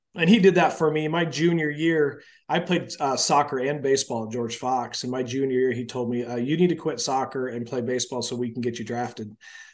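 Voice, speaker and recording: Against a quiet background, a man with an ordinary speaking voice and an American accent talks at a medium pitch and fairly quick pace, with ordinary pitch variation and hardly any pauses. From US Northwest, Portland, Oregon. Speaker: college baseball head coach. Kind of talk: podcast interview.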